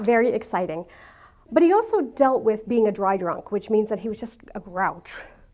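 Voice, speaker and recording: Speaking with a New York accent, a woman keeps a moderate pace and ordinary pitch variation. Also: fairly high pitch for a woman. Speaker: speaker sharing her life story. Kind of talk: talk to an audience.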